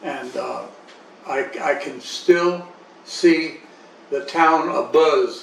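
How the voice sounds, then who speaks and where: Against noticeable background noise and audible room echo, a man speaks at a fairly high pitch with fairly even intonation. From Panama Canal Zone. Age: 80s+. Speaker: interviewee recounting life story. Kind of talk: life story interview. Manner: halting, with repetitions.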